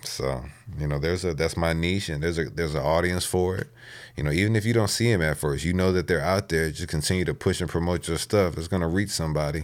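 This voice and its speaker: Very deep and low, a man's voice moves at a very fast pace with an American accent and ordinary pitch variation. The recording is very clean, with a silent background. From Texas, Houston. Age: 20s. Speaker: rapper. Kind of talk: casual interview.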